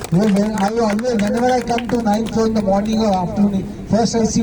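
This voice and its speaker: A man with an Indian accent, fairly quick pace and fairly even intonation, plus audible room echo and noticeable background noise. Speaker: colleague giving farewell speech. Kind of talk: farewell speech.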